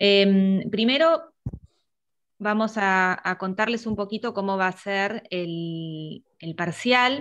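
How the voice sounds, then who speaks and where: A woman at a very slow pace, medium in pitch, with ordinary pitch variation. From Argentina. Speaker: university lecturer. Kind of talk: online review class. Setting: video call. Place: home room. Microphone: earbuds.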